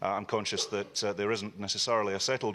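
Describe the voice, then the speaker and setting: A man with a Scottish accent and a fairly low pitch, a bright, sharp tone and a very fast pace. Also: very clean recording, silent background. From Scotland. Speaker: member of parliament. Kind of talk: parliamentary committee question.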